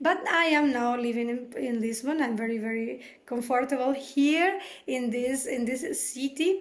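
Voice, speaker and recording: A woman's high-pitched voice at a moderate pace, ordinary pitch variation and audible room echo. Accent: Spanish. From Venezuela. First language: Spanish. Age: 30s. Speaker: job seeker presenting herself. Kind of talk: self-introduction video. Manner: halting, many fillers.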